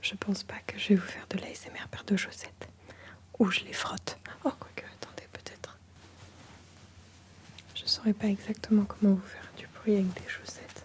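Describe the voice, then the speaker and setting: A woman whispers with long, frequent pauses and big swings in loudness. Noticeable background noise runs underneath. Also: moderate pace. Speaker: ASMR artist. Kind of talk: ASMR show-and-tell talk to camera. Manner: soft-spoken.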